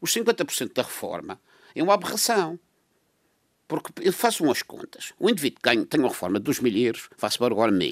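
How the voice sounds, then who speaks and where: Pitch swings very widely and loudness rises and falls sharply, with vocal fry throughout. The pace is fairly quick. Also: man, fairly high pitch for a man. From Madeira, Portugal. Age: 80s. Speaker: radio panel commentator. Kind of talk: radio panel discussion.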